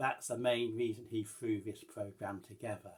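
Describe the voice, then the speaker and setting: Medium-pitched, moderately paced speech from a man. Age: 60s. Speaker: vlogger. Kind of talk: casual vlog update. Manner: halting, many fillers and restarts.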